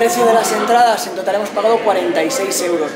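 A man speaks with ordinary pitch variation. Crowd noise can be heard in the background. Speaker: family travel vlogger. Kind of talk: casual vlog chat. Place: hall. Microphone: phone near.

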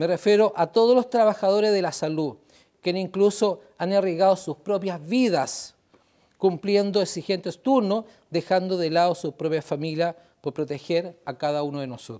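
A man speaks with a high pitch and a dark, mellow tone. The background is quiet. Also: ordinary pitch variation, moderate pace. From Chile, Valparaíso; Chile. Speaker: regional council president. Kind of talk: formal public address. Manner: formal.

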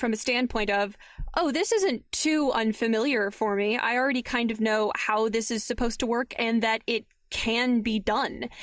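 Here a woman has an unremarkable speaking voice, fairly high in pitch with fairly even intonation. The recording is very clean, with a silent background. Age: 20s. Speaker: audio drama producer and podcaster. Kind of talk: interview.

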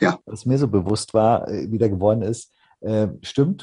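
A somewhat breathy voice, dark and mellow in tone, with ordinary pitch variation, over a quiet background. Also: man. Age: 30s. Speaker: podcast guest, hobby fan; podcast guest. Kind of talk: casual chat. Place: home room. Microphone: video call.

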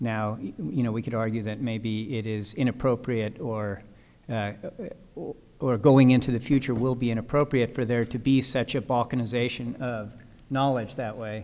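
The voice has a dark, mellow tone, a moderate pace and fairly even intonation. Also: man. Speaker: architect. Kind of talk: panel discussion. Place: hall. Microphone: podium.

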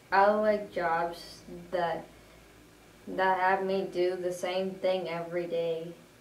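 Very slow and monotone, a woman speaks with flat intonation and long, frequent pauses. Audible room echo and light background noise fill the recording. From Madison, Wisconsin area. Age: 20s. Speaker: job training student. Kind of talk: self-introduction video; video resume self-introduction. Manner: halting, repeats words. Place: home room. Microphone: camera far.

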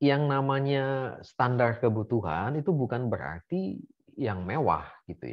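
A man's fairly slow speech with lively intonation over a quiet background. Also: medium pitch for a man. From Indonesia, Bandar Lampung; Indonesia. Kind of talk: casual interview. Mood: relaxed, good-humoured. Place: home room. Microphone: video call.

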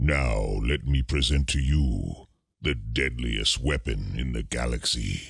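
Using a cartoonish character voice, a man talks at a fairly slow pace with a very deep, low pitch. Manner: solemn, menacing.

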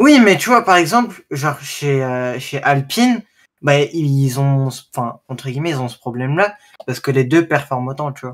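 Using a plain, everyday voice, a man with a fairly high pitch speaks at a moderate pace with lively intonation and big swings in loudness. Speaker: F1 fan on stream call; streamer. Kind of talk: casual debate. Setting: voice chat. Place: home room. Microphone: studio mic.

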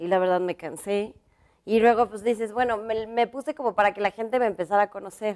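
Against a quiet background, a woman in a plain, everyday voice speaks at a fairly quick pace and fairly high pitch with fairly even intonation. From Mexico. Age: 40s. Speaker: fashion designer; interview guest. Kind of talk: interview. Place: studio. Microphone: lapel.

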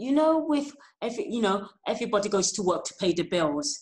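A somewhat breathy woman speaks fairly quickly against a quiet background, her pitch swinging very widely. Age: 40s. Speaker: kidney patient and organ donation advocate. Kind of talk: interview. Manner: halting. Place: home room. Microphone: earbuds.

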